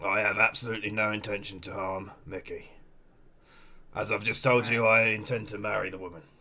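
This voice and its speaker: A man puts on a raspy character voice at a fairly low pitch with monotone, flat intonation. He talks at a fairly quick pace, with big swings in loudness. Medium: game stream. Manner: dry, sarcastic, unbothered.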